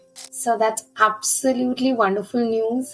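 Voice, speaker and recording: Music in the background plays as a woman talks at a fairly high pitch with ordinary pitch variation. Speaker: podcast host, retired air force officer. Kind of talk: podcast interview questions.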